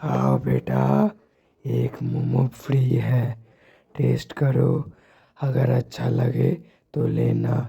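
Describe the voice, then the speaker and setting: In a raspy, cartoonish character voice, a man talks at a very slow pace. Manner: sweetly coaxing, turning menacing.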